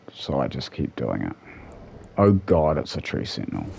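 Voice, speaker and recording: Speaking at a fairly slow pace, a man is heard over noticeable background noise. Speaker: gaming streamer. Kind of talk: live gameplay commentary. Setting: at home, late night stream. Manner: quieter, subdued after being told.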